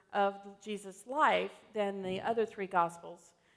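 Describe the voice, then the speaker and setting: Speaking at a very slow pace, a woman talks with an American accent. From US South, Alabama. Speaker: pastor. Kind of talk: sermon. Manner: conversational, frequent fillers.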